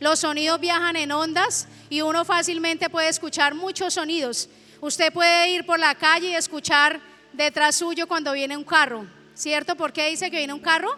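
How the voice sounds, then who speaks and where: A woman with an extremely high pitch raises and projects her voice at a moderate pace over noticeable background noise. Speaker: pastor. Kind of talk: sermon. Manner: animated.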